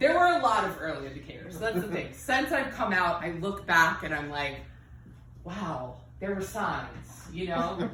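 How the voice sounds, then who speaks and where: A woman's moderately paced speech comes through noticeable background noise and audible room echo. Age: 30s. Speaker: stand-up comedian. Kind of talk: stand-up. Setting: stage with audience. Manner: halting, many fillers.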